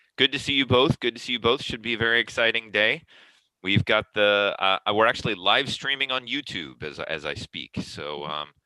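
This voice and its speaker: A man speaks at a fairly quick pace, his lively intonation marked by vocal fry. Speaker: online dispute resolution forum host. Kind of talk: casual chat.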